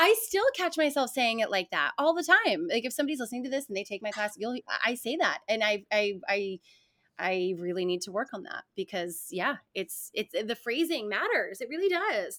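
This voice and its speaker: With an American accent, a woman speaks at a moderate pace in a bright, sharp tone, fairly high in pitch with very wide pitch swings. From New York. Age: 40s. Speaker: fitness instructor and actress. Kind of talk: casual chat.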